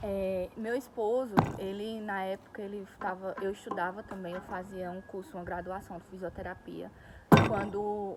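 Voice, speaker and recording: A woman's monotone, flat delivery at a moderate pace, with noticeable background noise. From Brazil, Pernambuco (Northeast). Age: 20s. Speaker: vlogger, nail technician. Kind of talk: casual vlog monologue. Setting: outdoors in a park.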